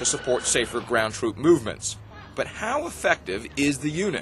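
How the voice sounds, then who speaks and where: Amid noticeable background noise, a man speaks with a fairly high pitch. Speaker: news anchor. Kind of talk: TV news report narration.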